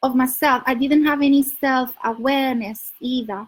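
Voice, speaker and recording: A high-pitched woman with a Spanish accent, fairly slow and with fairly even intonation. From Spain. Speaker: dating coach. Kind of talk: livestream advice talk. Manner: loud; halting.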